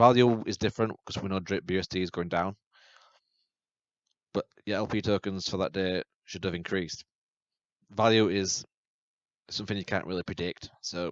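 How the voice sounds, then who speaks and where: Against a quiet background, a man with a British accent and a very deep, low pitch speaks at a moderate pace with long, frequent pauses. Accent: UK. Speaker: YouTube crypto channel host. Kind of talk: tutorial. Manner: halting.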